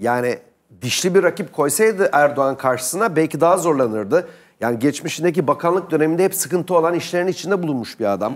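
A man speaks very fast in an animated tone, his fairly high pitch set against a quiet background. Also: lively intonation. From Turkey. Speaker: political commentator. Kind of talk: heated debate. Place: studio. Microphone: lapel.

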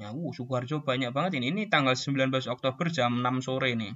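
The speaker moves at a fairly quick pace. It is a plain, everyday voice. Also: man. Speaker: scout youth leader. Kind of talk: tutorial. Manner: casual, with fillers.

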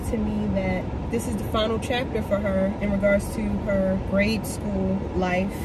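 A woman at a very slow pace, dry sound with no echo, and loud background noise. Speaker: vlogger. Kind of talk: casual vlog chat. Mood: nostalgic, upbeat. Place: car.

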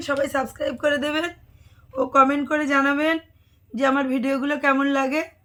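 A woman's high-pitched, bright, sharp voice in a monotone, flat intonation. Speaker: vlogger and sari shop owner. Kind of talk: casual vlog talk to camera.

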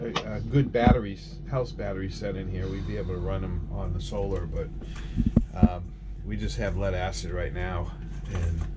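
Loud background noise fills the clip. A man speaks at a moderate pace. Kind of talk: casual vlog chat. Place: boat. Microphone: phone near.

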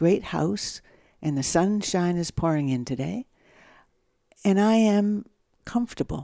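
Over a quiet background, a woman with a Canadian accent talks at a moderate pace in a fairly low, dark, mellow voice with lively intonation and a dry sound with no echo. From Canada, Ontario (Owen Sound). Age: 60s. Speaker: novelist. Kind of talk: interview conversation. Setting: at home. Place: home room.

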